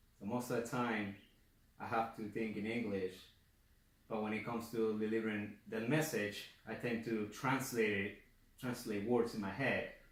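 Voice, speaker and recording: A man with a non-native accent, medium pitch and monotone, flat intonation at a moderate pace, with audible room echo. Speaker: college student giving class speech. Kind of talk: class speech. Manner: halting, self-correcting; speeds up when nervous.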